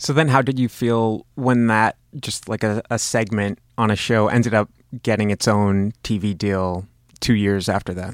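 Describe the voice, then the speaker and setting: A man with a plain, everyday voice speaks at a moderate pace and a fairly low pitch, his intonation fairly even. The sound is dry and close with no echo, and the recording is very clean with a silent background. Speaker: podcast host. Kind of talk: interview.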